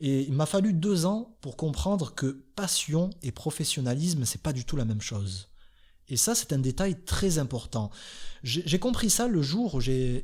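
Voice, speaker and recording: A man's somewhat breathy, fairly high voice in a calm tone, fairly slow, with very wide pitch swings, on a very clean recording with a silent background. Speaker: YouTuber. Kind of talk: podcast monologue.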